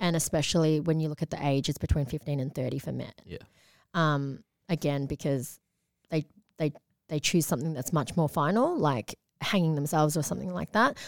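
With an Australian accent, the speaker talks at a fairly quick pace with ordinary pitch variation. The recording is very clean and dry, close with no echo, over a silent background. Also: woman, very deep, low pitch for a woman. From Australia, Melbourne south-east suburbs. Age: 20s. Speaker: author and mental health advocate. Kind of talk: casual interview chat.

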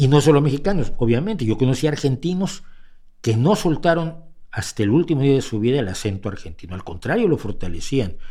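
Speaking at a fairly quick pace, a man with a fairly high pitch and a dark, mellow tone shows very wide pitch swings. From Mexico. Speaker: podcast host and commentator. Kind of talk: livestream commentary. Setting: home studio livestream. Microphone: mic close to face.

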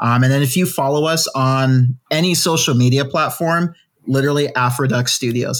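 Here is a man with a plain, everyday voice and fairly high pitch. He keeps a moderate pace, very even loudness and fairly even intonation. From Ghana, moved to the US as a child. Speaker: indie game studio founder and creative director. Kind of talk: casual interview.

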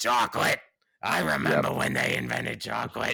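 A raspy man puts on a character voice and talks at a fairly quick pace.

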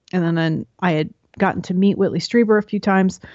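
A woman with an American accent speaks at a moderate pace in a medium pitch and fairly even intonation, a normal speaking voice. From New York. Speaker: podcast host and Jungian enthusiast. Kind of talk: interview conversation.

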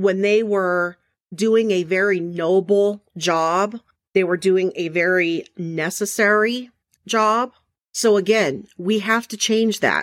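A woman speaks very slowly in an American accent. The recording is very clean, with a silent background. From Arizona. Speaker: podcast host and corrections officer. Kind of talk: solo podcast monologue.

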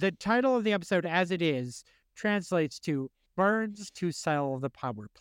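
In a very clean recording with a silent background and a dry, close sound with no echo, a man speaks at a high pitch and a moderate pace, with very wide pitch swings and big swings in loudness. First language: English; took high school German. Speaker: pop culture podcast co-host. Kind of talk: casual chat.

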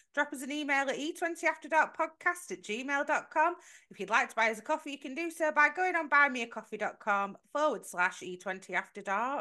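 A woman projects a raised voice with a bright, sharp tone and a high pitch, at a fairly quick pace. Her pitch swings very widely against a quiet background. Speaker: podcast co-host. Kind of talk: casual chat.

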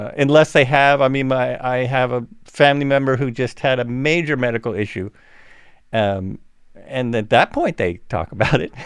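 Against a quiet background, a man with an ordinary speaking voice talks at a moderate pace, medium in pitch and with ordinary pitch variation. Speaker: podcast host. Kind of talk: casual chat.

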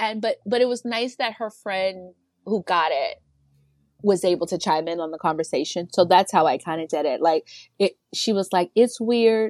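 An unremarkable speaking voice with an American accent moves at a moderate pace with ordinary pitch variation, in a dry, close sound with no echo against a quiet background. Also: woman, medium pitch for a woman. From Virginia. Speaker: single mom, parenting content creator. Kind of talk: casual chat.

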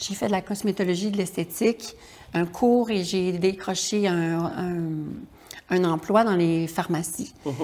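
A woman with a normal speaking voice, medium pitch and ordinary pitch variation, on a very clean recording with a silent background. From Quebec, Charlevoix region. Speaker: writer and actress. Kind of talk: interview.

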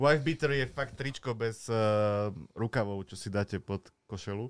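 A man speaks with a Slovak accent. His pace is fairly slow, and his pitch varies in an ordinary way. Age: 30s. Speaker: butcher and grill cook. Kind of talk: casual chat. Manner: halting.

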